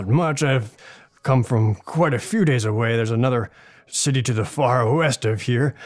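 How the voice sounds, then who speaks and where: A man does a put-on character voice at medium pitch. His pace is moderate, and his pitch varies in an ordinary way. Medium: actual play. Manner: hesitant, polite, apologetic.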